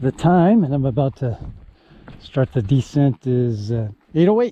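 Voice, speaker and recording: An unremarkable speaking voice with lively intonation talks at a moderate pace in a dry, close sound with no echo. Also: man, medium pitch for a man. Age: 60s. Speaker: hiker and video creator, recently retired. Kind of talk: casual talk to camera while hiking. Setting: outdoors on a trail.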